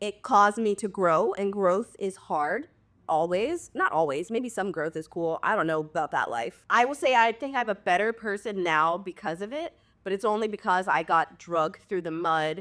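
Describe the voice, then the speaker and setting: Here a woman speaks at a moderate pace and medium pitch with lively intonation. The recording is very clean, with a silent background. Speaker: reality TV star and midwife. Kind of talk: podcast interview. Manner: loud.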